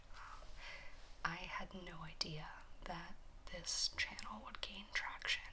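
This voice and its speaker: Over noticeable background noise, a woman whispers in a relaxed tone. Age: 20s. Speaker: ASMR content creator. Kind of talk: casual talk to camera, Q&A. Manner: soft, relaxed.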